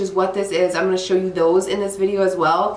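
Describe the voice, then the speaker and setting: With an animated tone and a medium pitch, a woman speaks over noticeable background noise and audible room echo. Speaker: beauty YouTuber. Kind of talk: makeup tutorial vlog. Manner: chatty, animated.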